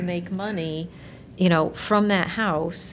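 At a moderate pace, a woman speaks in a plain, everyday voice at medium pitch with fairly even intonation. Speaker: city council member. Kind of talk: formal public meeting.

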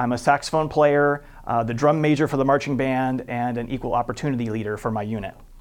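Speaking very fast with a Midwestern American accent, a man keeps a medium pitch and fairly even intonation. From Iowa, US Midwest. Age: 40s. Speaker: city council candidate. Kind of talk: campaign statement. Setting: studio.

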